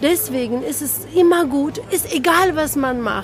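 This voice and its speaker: A woman at a fairly slow pace, with ordinary pitch variation and noticeable background noise. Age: 50s. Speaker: actress and director. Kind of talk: casual interview.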